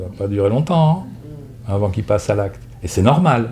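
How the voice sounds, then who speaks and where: Noticeable background noise and audible room echo surround the recording. A man speaks at a fairly low pitch with lively intonation. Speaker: psychotherapist giving a talk. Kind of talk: lecture with audience questions; casual video intro. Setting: conference hall with audience. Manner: fast.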